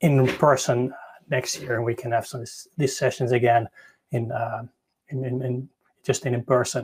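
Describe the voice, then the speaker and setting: In a Dutch accent, a man speaks at a moderate pace with a medium pitch, somewhat breathy and monotone, with flat intonation. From Netherlands. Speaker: tech conference speaker. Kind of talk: conference talk. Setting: online live session. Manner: halting; shaky voice.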